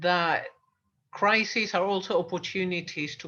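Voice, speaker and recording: A woman's fairly low voice with a British accent, bright and sharp in tone, fairly even in intonation and fairly slow in pace, over a quiet background. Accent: British-leaning English. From Argentina. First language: Spanish. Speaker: coach and channel host. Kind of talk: casual interview chat.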